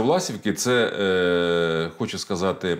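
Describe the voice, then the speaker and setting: A man's voice against a quiet background. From central Ukraine, Kirovohrad region; Ukraine. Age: 50s. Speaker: politician. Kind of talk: interview. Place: studio. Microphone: lapel.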